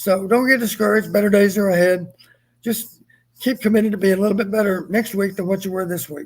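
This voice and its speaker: A man talks at a very fast pace with a high pitch. His intonation stays fairly even. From Texas. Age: 70s. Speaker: retired football coach. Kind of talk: live stream postgame chat.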